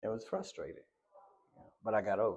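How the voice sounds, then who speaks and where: A moderate pace in an American accent. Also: man. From Texas. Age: 60s. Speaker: interviewee sharing life story. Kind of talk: interview. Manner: casual, repetitive.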